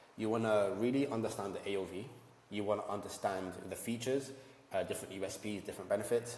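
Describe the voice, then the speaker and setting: Over noticeable background noise and audible room echo, a man talks at a very fast pace with a fairly low pitch. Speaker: ecommerce entrepreneur and YouTuber. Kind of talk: tutorial. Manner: animated.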